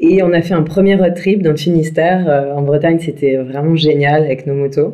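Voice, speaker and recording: Speaking at a moderate pace, a woman has a very deep, low pitch and fairly even intonation, with audible room echo. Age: 30s. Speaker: entrepreneur and motorcycle traveller. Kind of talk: interview. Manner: hesitant, many fillers.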